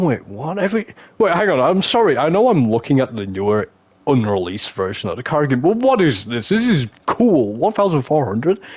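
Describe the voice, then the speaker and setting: A man with an English accent speaks fairly quickly in an animated tone, with a fairly high pitch that swings very widely. Noticeable background noise can be heard. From England. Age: 20s. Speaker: gaming streamer. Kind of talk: live stream gameplay commentary. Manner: whispering.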